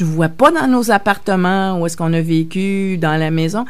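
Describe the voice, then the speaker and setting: A woman talks at a fairly slow pace. Room echo is audible in the recording. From Quebec, Verdun (Montreal). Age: 60s. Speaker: novelist. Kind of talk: radio interview. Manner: halting, many hesitations.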